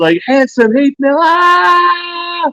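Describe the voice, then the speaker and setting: A man's put-on character voice at an extremely high pitch with very wide pitch swings. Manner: drawn-out, shrieking.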